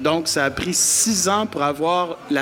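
Noticeable background noise sits behind a man's voice. His intonation stays fairly even. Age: 50s. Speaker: event producer. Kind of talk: casual interview. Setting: live in a pub.

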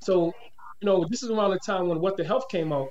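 Speaking at a very fast pace, a man with a high pitch talks in an American accent. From Boston. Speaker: nonprofit founder. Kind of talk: casual chat.

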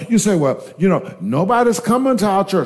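An animated tone at a moderate pace amid noticeable background noise. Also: man. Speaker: preacher. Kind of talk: sermon, preacher in full flow, exhorting the congregation. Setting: church with congregation. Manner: animated, fervent, rising exhortation with call-and-response; rhetorical questions, repeating phrases for emphasis.

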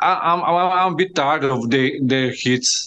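With a Slovenian accent, a man speaks fairly slowly at a fairly high pitch, his intonation lively. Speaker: fan co-host. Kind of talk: interview. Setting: remote call. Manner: halting.

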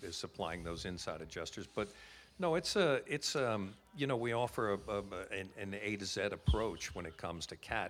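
This man has an unremarkable speaking voice and an American accent. He talks at a fairly quick pace in a fairly low pitch. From United States. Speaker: insurance company representative. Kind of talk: interview, elevator pitch. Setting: conference venue, live recording.

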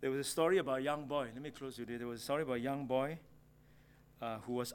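A man talks with a Singaporean accent at a medium pitch. His intonation stays fairly even. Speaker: preacher. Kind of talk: sermon. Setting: church.

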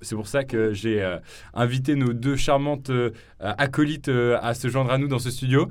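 A man with a slight southern French accent speaks fairly slowly at a medium pitch, his intonation fairly even. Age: young. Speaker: podcast host and youtuber. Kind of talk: casual chat. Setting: studio.

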